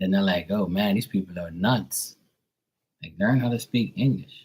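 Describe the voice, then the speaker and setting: A man with an American accent talks at a moderate pace in an animated tone. His pitch makes very wide swings. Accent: strong accent mistaken for New York. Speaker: tarot reader. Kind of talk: casual chat. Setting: live stream.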